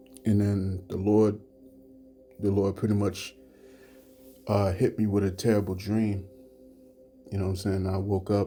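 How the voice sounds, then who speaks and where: Over music in the background, a man talks at a fairly slow pace in a fairly low pitch with monotone, flat intonation. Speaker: religious teacher. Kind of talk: religious lesson. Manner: low-voiced; halting, many fillers.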